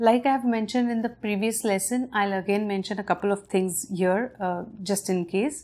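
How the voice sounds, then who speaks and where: In a very clean recording with a silent background, a woman speaks at a moderate pace with a medium pitch and ordinary pitch variation. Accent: Indian. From India. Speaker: parent giving reading lessons. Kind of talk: tutorial.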